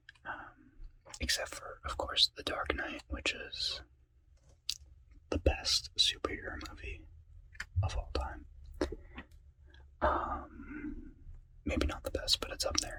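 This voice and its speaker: Very slowly, a man whispers. Long pauses come often. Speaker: ASMR creator. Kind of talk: ASMR whispered talk to camera. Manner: whispered.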